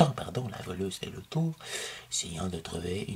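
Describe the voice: Simple, plain reading aloud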